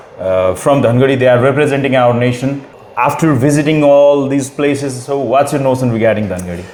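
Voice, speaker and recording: A man at a fairly quick pace, with noticeable background noise and audible room echo. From far western Nepal, Dadeldhura. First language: Doteli. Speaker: podcast host. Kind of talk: podcast interview.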